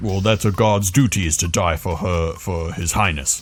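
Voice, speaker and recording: A gruff, put-on character voice from a man, very deep and low in pitch, at a moderate pace over light background noise. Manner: gruff, dutiful.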